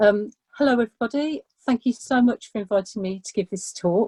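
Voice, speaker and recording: This somewhat breathy voice has a dark, mellow tone and an English accent, moving at a fairly quick pace with lively intonation. The sound is dry and close, with no echo. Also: woman. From England. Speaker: artist. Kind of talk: artist talk. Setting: video call.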